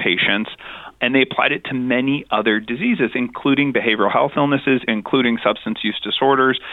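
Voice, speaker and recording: Here is a man with an ordinary speaking voice and an American accent. He talks at a medium pitch and a fairly quick pace. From New Mexico, US. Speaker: addiction medicine physician. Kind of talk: interview.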